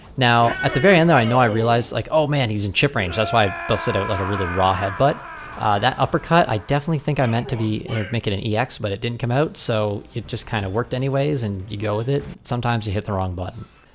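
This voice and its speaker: Over noticeable background noise, a man talks at a very fast pace with hardly any pauses, at medium pitch with ordinary pitch variation. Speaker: gaming commentator. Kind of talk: match commentary over gameplay. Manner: casual, with frequent fillers.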